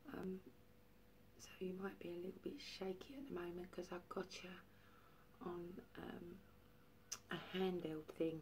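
Speaking at a fairly slow pace with vocal fry, a woman holds a fairly low pitch and fairly even intonation over light background noise. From East London, Barking and Dagenham; London. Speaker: vlogger. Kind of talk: casual vlog monologue. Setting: at home, handheld camera. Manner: rambling, hesitant with many fillers. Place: home room. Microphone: phone near.

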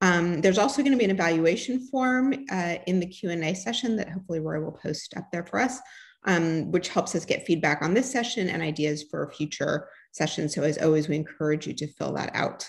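A woman speaks at a fairly low pitch and sounds somewhat breathy. The background is quiet. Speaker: grand rounds host. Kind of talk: event introduction and housekeeping. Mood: warm, slightly hesitant. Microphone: webcam.

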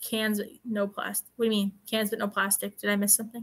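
A woman speaks at a moderate pace with a bright, sharp tone. Her pitch sits in the medium range and moves very little.

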